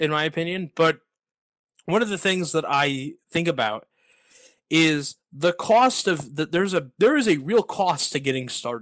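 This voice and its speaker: This is a plain, everyday voice with lively intonation at a moderate pace. The sound is dry and close, with no echo. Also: man, fairly high pitch for a man. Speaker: podcast host. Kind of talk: podcast interview, conversational.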